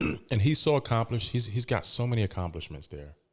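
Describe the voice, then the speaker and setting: The speaker has an American accent and lively intonation. The recording is very clean, with a silent background. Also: man. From Philadelphia. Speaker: podcast host. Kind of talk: podcast talk.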